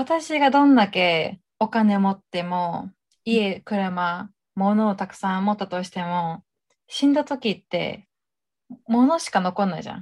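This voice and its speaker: A woman's somewhat breathy voice at a medium pitch, fairly slow and lively in intonation, in a very clean recording with a silent background. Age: 20s. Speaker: podcast co-host. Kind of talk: casual chat.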